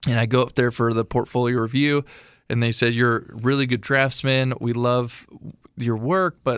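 In a plain, everyday voice with an American accent, a man of medium pitch talks at a moderate pace with fairly even intonation. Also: very clean recording, silent background. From Illinois. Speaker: military veteran and artist. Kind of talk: casual interview chat.

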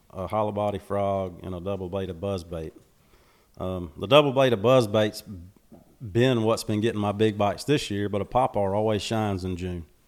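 In a very clean recording with a silent background, a man with a Southern US accent talks at a fairly quick pace in a fairly low voice with fairly even intonation. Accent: Southern US (Georgia). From US South, Macon, Georgia. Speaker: bass fisherman, social media personality. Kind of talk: casual interview. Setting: on location near a lake.

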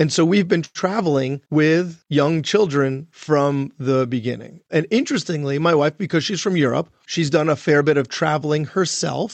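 A man with a fairly high pitch and an ordinary speaking voice talks at a moderate pace with hardly any pauses and ordinary pitch variation. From US Northeast, Long Island, New York. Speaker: physician and podcast host. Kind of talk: casual chat.

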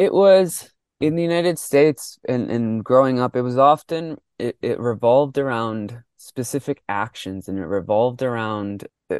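Over a quiet background, a man speaks with an American accent at medium pitch. His pace is moderate and his intonation lively. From Mexico, raised in US. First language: Spanish. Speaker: football coach and coach educator. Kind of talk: interview discussion.

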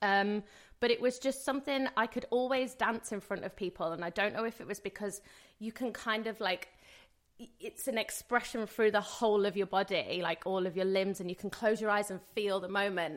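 A woman at medium pitch and a fairly quick pace, with a West Midlands accent. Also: ordinary pitch variation. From English Midlands (Rugeley, Staffordshire). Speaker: singer and dancer. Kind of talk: casual interview chat.

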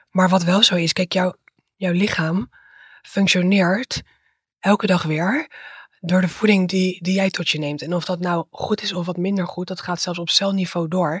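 The voice is somewhat breathy, with a dry, close sound that has no echo. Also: woman, medium pitch for a woman, moderate pace. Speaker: dietitian and PhD researcher. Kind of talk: interview.

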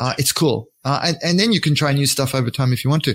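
A somewhat breathy man with an Australian accent at a fairly quick pace, dry and close with no echo. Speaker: scale model artist and author. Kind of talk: interview.

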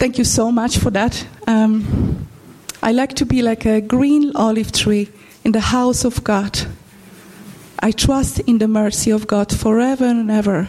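A woman with a Polish accent and a fairly high pitch speaks at a fairly slow pace, with fairly even intonation and very even loudness, over noticeable background noise. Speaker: church member. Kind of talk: testimony. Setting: church. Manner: halting.

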